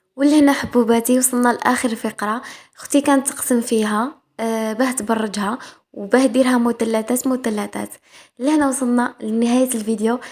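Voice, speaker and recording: Speaking at a moderate pace, a woman uses a high pitch and an Algerian accent. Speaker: cooking vlogger. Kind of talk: cooking vlog voice-over. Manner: halting, many fillers and restarts; casual.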